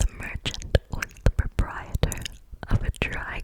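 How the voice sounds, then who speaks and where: Whispering at a very slow pace, a woman is heard over noticeable background noise. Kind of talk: ASMR reading, whispered storytime. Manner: whispered, soft.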